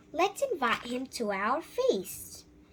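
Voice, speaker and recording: Here a woman puts on a character voice with a high pitch. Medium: read story. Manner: hearty, declaiming.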